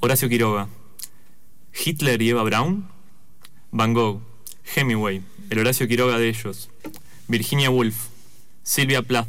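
A man speaks at a fairly slow pace with very even loudness, ordinary pitch variation and long, frequent pauses, and audible room echo surrounds his voice. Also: medium pitch for a man. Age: 20s. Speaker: author. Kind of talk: reading aloud.

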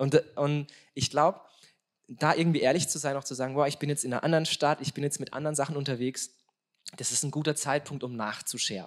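A man talks at a very fast pace in an animated tone. His pitch sits fairly high. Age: 30s. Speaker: stand-in podcast host, youth academy staff. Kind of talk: live podcast talk. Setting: live recording with audience.

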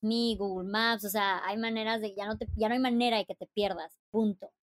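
Animated and fairly high-pitched, a woman speaks at a moderate pace in a dry, close sound with no echo. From Mexico, Chiapas. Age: 30s. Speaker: travel influencer and author. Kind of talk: interview conversation.

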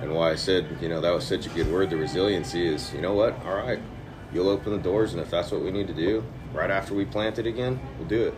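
A man talks at a very fast pace, his pitch fairly low with ordinary variation. Music plays in the background. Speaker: men's group member. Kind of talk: casual chat. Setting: coffee shop.

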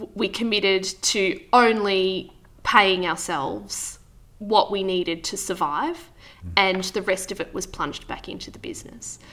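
A woman with an Australian accent and a medium pitch speaks in a bright, sharp tone, with big swings in loudness and ordinary pitch variation. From Victoria, Australia (Wangaratta). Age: 30s. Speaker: market gardener and former cafe owner. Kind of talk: interview.

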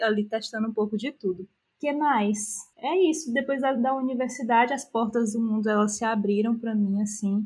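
A woman's somewhat breathy voice, fairly high in pitch, at a moderate pace. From Brazil, interior of Piauí. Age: 20s. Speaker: business analyst. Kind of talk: interview.

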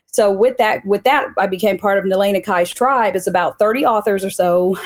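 This is a normal speaking voice with an American accent. The pace is moderate. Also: woman. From US Midwest (Joplin, Missouri). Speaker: author. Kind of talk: interview.

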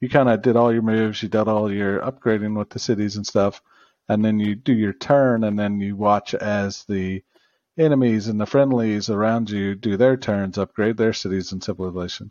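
A man talks in an ordinary speaking voice, fairly low in pitch. His moderate pace and fairly even intonation sit over a quiet background. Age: middle-aged. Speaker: podcast co-host. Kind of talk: casual chat.

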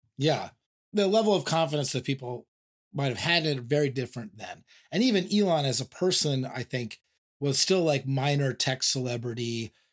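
Speaking with a Californian accent, a man at a fairly high pitch talks at a moderate pace with an animated tone and lively intonation. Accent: Californian American English. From US West Coast, San Diego. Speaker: podcast host. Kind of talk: casual interview.

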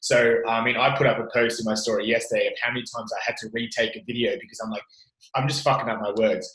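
Big swings in loudness mark this man's very fast speech in an Australian accent. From Australia, Italian family. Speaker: gym owner. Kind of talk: casual interview chat. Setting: remote call.

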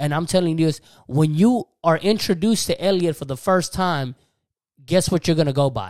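An American accent at a moderate pace on a very clean recording with a silent background. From Texas. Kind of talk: sermon-like religious talk, casual. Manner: animated, energetic, preacherly.

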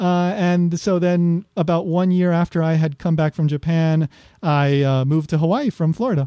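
On a very clean recording with a silent background and a dry, close sound with no echo, a man with an American accent speaks at a moderate pace in a high pitch, his tone dark and mellow, his loudness very even and his intonation fairly even. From New York, US. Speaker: podcaster and former English teacher in Japan. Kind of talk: interview conversation.

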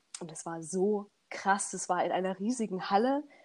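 Speaking fairly slowly at medium pitch, a woman uses a plain, everyday voice. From Saxony, Germany (Leipzig area). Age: 20s. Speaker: a cappella singer. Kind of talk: casual interview.

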